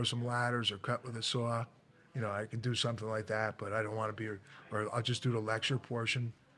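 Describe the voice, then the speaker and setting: The recording is very clean, with a silent background. A man speaks at a fairly quick pace in a medium pitch. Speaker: veteran firefighter and instructor. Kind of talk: casual interview chat.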